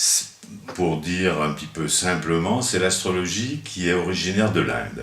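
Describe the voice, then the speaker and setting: A man with a very deep, low voice speaks at a fairly slow pace with lively intonation. Noticeable background noise and audible room echo surround him. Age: 70s. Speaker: astrologer. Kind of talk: interview. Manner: halting.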